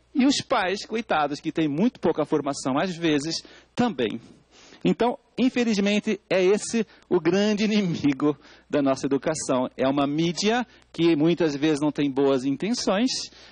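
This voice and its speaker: Recorded with a dry, close sound and no echo, a man with a high pitch speaks at a fairly slow pace, using lively intonation and very even loudness. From Portugal. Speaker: educator, expert speaker at public hearing. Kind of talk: testimony at parliamentary public hearing.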